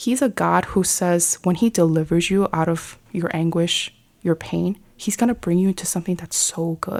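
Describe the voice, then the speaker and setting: A woman speaks in an American accent at a fairly low pitch. She has an ordinary speaking voice and a moderate pace. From New York City. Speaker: lay missionary, ministry director. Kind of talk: faith testimony in podcast interview. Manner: casual, conversational.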